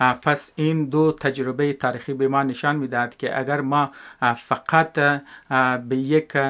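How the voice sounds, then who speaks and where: On a very clean recording with a silent background, a man speaks in a flat monotone at a fairly slow pace with a bright, sharp tone. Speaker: educational video maker. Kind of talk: spoken video essay. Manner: halting, many filler sounds.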